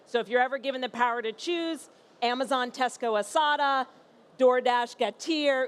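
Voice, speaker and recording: With a New York accent and a high pitch, a woman speaks at a moderate pace with ordinary pitch variation on a very clean recording with a silent background. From US Northeast, New York. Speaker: company founder and CEO. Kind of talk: conference panel presentation.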